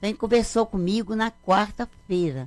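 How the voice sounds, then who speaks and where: A woman speaks at a moderate pace. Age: 60s. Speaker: mother of a murdered man. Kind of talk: radio interview. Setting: radio studio.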